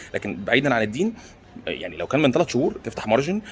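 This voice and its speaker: A man speaks quietly in an Egyptian accent, his intonation lively. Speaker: stock market commentator. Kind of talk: casual vlog commentary. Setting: airport. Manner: speaking quietly; halting, repeats words.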